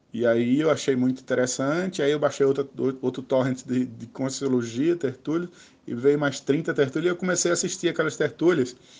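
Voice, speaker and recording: The man's pitch is fairly high for a man, with ordinary variation. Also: moderate pace. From Brazil, Maceió (Alagoas, Northeast). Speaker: spiritual studies teacher. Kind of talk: casual interview. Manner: halting.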